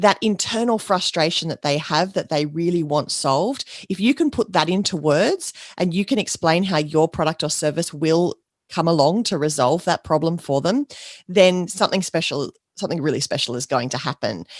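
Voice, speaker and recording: A woman's fairly low-pitched voice in an Australian accent, at a moderate pace with lively intonation, dry and close with no echo against a quiet background. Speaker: podcast host, business coach. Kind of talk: podcast monologue.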